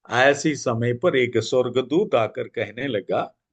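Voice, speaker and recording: A man speaks with a Malayalam accent and ordinary pitch variation. The background is quiet. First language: Malayalam (speaking Hindi). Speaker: evangelist. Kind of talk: Bible study teaching. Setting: church prayer meeting.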